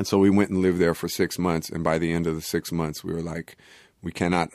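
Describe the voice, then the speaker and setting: In a very clean recording with a silent background, a man with an American accent talks at a fairly quick pace in a very deep, low pitch and a monotone, flat intonation. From Oakland, California. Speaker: rapper and producer. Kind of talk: casual interview.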